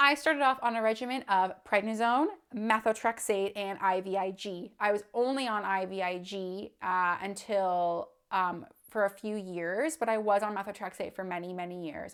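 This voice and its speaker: A woman with a normal speaking voice and a Canadian accent, at medium pitch, with ordinary pitch variation and a moderate pace. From Canada, southwestern Ontario. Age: 20s. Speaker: vlogger sharing illness story. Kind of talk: personal testimony vlog.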